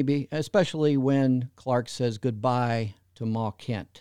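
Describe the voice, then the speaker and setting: A man speaks at a fairly slow pace with a dark, mellow tone. The recording is very clean with a silent background, and the sound is dry and close with no echo. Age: 60s. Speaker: fan website founder and podcaster. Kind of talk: interview.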